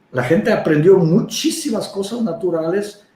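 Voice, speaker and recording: A man with a non-native accent, high in pitch, at a moderate pace with very wide pitch swings. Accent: foreign accent in Spanish. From Czech Republic. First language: Czech (speaking Spanish). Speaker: herbalist. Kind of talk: interview. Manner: halting, many fillers.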